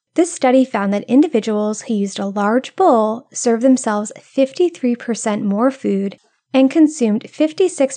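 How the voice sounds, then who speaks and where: A woman with an American accent speaks at a moderate pace in a fairly high pitch with lively intonation. Her tone is dark and mellow, against a quiet background. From US Northeast (Rhode Island). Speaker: health podcast host. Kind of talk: scripted solo podcast narration.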